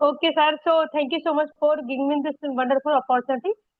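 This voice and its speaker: Here a woman with an Indian accent talks at a fairly quick pace. Her pitch is high and her intonation is monotone and flat. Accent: Indian (Hindi) English. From India, Uttar Pradesh (Aligarh). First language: Hindi. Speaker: homemaker, English-learning YouTuber. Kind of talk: casual conversation practice. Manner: halting, basic English.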